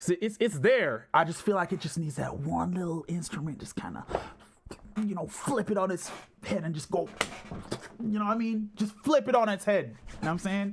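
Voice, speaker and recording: A man with a high pitch speaks at a fairly quick pace over noticeable background noise. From Jamaica. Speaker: music producer streamer. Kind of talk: live stream commentary. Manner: casual, rambling filler-heavy.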